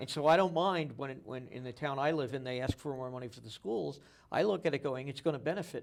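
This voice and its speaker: Talking at a very fast pace with vocal fry, a man with an American accent shows ordinary pitch variation. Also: medium pitch for a man, big swings in loudness. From New Jersey. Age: 60s. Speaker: local TV interview host. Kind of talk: interview.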